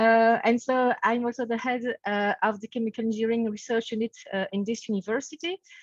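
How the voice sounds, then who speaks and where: With a Belgian French accent, a woman speaks fairly quickly at a fairly high pitch and fairly even intonation, in a dry, close sound with no echo. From French-speaking Belgium. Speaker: professor. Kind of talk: webinar introduction. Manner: hesitant, many fillers.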